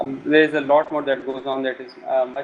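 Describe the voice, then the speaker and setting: With a South Asian accent, a man speaks at a medium pitch in a monotone, flat intonation. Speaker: game hacker and programmer. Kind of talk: interview. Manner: hesitant, many filler sounds.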